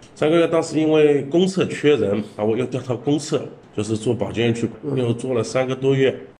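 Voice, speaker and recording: A man with a plain, everyday voice. His pitch sits in the medium range with ordinary variation. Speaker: sanitation department manager. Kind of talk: interview.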